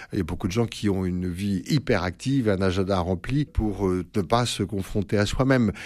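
In a very clean recording with a silent background, a man talks at a fairly low pitch and moderate pace, with ordinary pitch variation and hardly any pauses. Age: 60s. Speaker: priest and psychoanalyst. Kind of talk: radio interview. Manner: halting, many hesitations.

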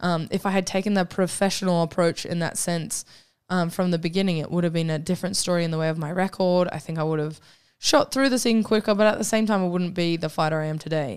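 Speaking at a fairly quick pace with an Australian accent, a woman uses a fairly low pitch and ordinary pitch variation on a very clean recording with a silent background. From Queensland, Australia (born in New Zealand). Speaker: professional mixed martial arts fighter. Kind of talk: casual interview.

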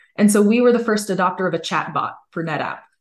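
Against a quiet background, a woman with an American accent talks at a fairly quick pace and medium pitch. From US West Coast, California Bay Area. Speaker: legal operations director. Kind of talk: interview.

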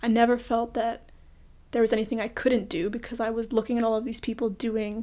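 A woman with a Canadian accent and an ordinary speaking voice speaks at a moderate pace, fairly high pitch and fairly even intonation on a very clean recording with a silent background. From Canada, Toronto. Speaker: podcast host. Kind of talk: solo podcast monologue.

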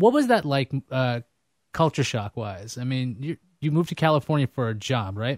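In an American accent, a man speaks at medium pitch and a moderate pace with ordinary pitch variation, an ordinary speaking voice in a very clean recording with a silent background and a dry, close sound with no echo. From New York City (Queens). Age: 30s. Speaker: podcast host. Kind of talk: casual chat. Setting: studio.

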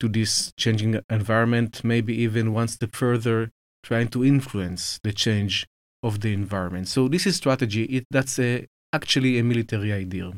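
A man at medium pitch with an Israeli accent, moderate pace and ordinary pitch variation, in a dry, close sound with no echo and a very clean recording over a silent background. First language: Hebrew. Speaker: military officer, think tank head. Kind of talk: interview, explanatory. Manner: measured, hesitant with fillers.

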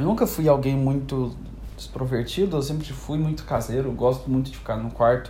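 Noticeable background noise and audible echo from the room surround this man as he talks. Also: moderate pace. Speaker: podcaster. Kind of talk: monologue. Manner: melodramatic.

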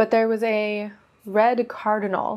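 A woman with an American accent has an unremarkable speaking voice at a medium pitch. She speaks at a fairly slow pace. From US West Coast (Oregon). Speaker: podcast host, modern witch. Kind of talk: casual solo talk.

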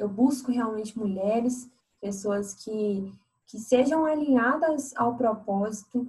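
With an ordinary speaking voice, a woman talks at a fairly slow pace and a fairly high pitch. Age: 20s. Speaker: fashion entrepreneur. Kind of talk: interview.

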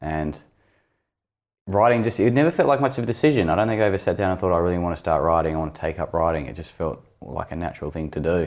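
Very fast speech from a man with an Australian accent, a very deep, low pitch and lively intonation. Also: very clean recording, silent background. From northern Tasmania, Launceston. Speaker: novelist. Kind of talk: interview.

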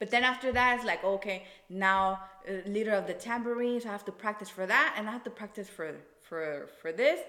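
An ordinary speaking voice, delivered at a fairly quick pace with ordinary pitch variation and big swings in loudness. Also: woman, fairly high pitch for a woman. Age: 20s. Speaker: podcast guest. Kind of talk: casual chat.

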